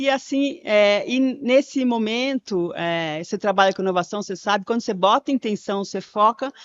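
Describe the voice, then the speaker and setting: A woman with an unremarkable speaking voice, fairly high in pitch, lively in intonation, at a moderate pace. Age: 60s. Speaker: conversation facilitator, public speaker. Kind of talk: podcast interview. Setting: live event recording.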